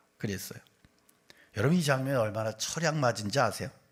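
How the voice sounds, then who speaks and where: The speaker has a slight Gyeongsang accent and an animated tone. The intonation is lively. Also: man. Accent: slight Gyeongsang accent slipping out. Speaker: pastor. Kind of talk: sermon.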